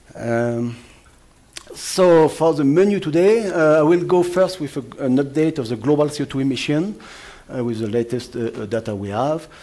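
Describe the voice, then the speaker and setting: A man talks with lively intonation. Background noise is noticeable. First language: French. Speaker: atmospheric scientist. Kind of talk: lecture. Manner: fast; halting, many fillers.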